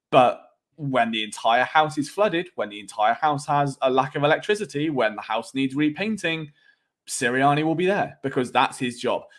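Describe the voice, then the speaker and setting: In a very clean recording with a silent background, a man with a British accent speaks at a moderate pace and fairly high pitch with lively intonation. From England. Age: 20s. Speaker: sports podcaster. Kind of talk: live stream sports talk with chat. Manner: casual, conversational with fillers.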